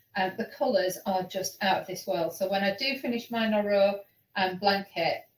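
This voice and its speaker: Here a woman speaks at a medium pitch and a moderate pace. Her voice is somewhat breathy. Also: ordinary pitch variation. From Yorkshire, northern England. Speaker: online knitting show host. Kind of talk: casual chat.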